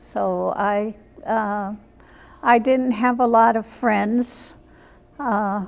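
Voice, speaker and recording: Flat, monotone intonation runs through the speech. The accent heard is American. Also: woman. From US Midwest, small town Iowa. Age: 80s+. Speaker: senior center member. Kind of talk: interview.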